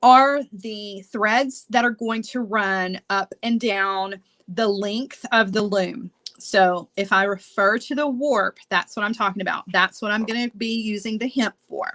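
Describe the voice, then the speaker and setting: A woman's bright, sharp, fairly high voice with a strong Southern US accent, at a fairly slow pace and with ordinary pitch variation. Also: dry, close sound with no echo. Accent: thick Southern US. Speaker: beading instructor. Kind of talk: tutorial. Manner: casual, chatty.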